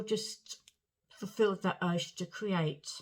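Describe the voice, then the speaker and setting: Speaking very slowly in a southern English accent, a woman keeps a medium pitch with ordinary pitch variation. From southern England, Portsmouth. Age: 60s. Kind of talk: personal story to camera.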